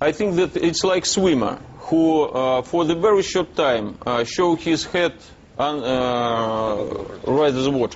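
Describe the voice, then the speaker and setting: The speaker has a Russian accent and talks at a very slow pace with ordinary pitch variation. Noticeable background noise runs underneath. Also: man. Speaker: businessman. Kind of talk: TV interview. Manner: halting.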